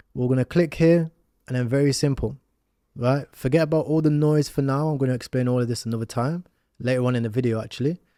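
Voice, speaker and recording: A man with an English accent talks at a very fast pace in a medium pitch with a dark, mellow tone, on a very clean recording with a silent background and a dry, close sound with no echo. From England. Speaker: crypto educator. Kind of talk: tutorial. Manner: casual, filler-heavy.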